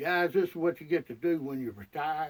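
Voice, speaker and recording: With a Southern US accent, a man speaks with ordinary pitch variation. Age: 60s. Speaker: retired hunter. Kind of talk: casual monologue to camera. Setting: outdoors in a deer blind. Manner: halting, repetitive.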